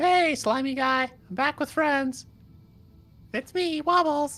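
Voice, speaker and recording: A woman puts on a character voice, high in pitch and with ordinary pitch variation. She speaks at a fairly slow pace. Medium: actual play.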